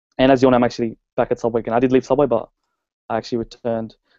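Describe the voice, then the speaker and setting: The voice has a dark, mellow tone and an Australian accent. The sound is dry and close, with no echo. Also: man. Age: young. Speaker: network marketer. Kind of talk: personal story presentation.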